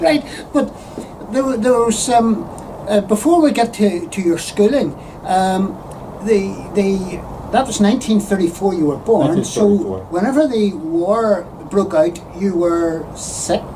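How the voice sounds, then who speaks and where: Noticeable background noise runs under a woman talking at a very slow pace. Her intonation is lively while her loudness stays very even. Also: medium pitch for a woman. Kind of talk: interviewer questions.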